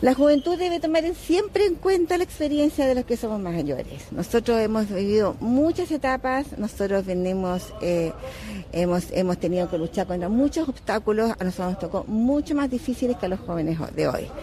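A woman with a fairly high pitch speaks in very wide pitch swings over noticeable background noise. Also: moderate pace. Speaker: voter. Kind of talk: street interview.

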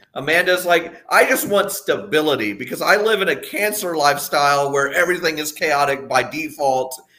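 With an American accent, a man talks at a moderate pace with hardly any pauses, his high-pitched voice bright and sharp and his intonation lively. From Texas. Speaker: podcast guest, longtime patron. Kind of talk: casual chat.

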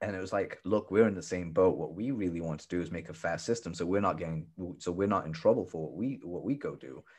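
A man talks at a very fast pace with a very deep, low pitch. His pitch varies in an ordinary way over a quiet background. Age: 30s. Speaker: copywriter. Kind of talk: casual chat.

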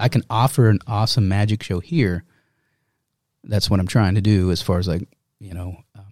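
Heard in a very clean recording with a silent background, a man with an American accent speaks at fairly low pitch with a dark, mellow tone and ordinary pitch variation. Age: 40s. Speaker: magician and artist. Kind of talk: casual chat.

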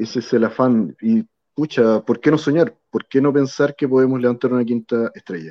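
In a Chilean accent, a man speaks with a dark, mellow tone at medium pitch and ordinary variation. His pace is moderate, and the sound is dry and close with no echo. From southern Chile (Río Bueno). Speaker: football fan. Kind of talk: casual chat.

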